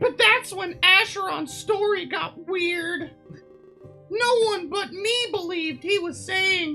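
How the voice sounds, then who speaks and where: A woman's put-on character voice at a fairly slow pace, with clear music in the background. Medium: game stream. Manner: earnest, easygoing.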